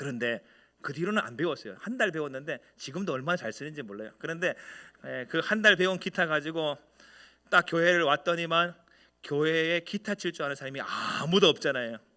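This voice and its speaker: On a very clean recording with a silent background, a man speaks fairly quickly in a fairly high pitch with a bright, sharp tone. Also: lively intonation. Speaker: senior pastor. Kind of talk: sermon. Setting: church.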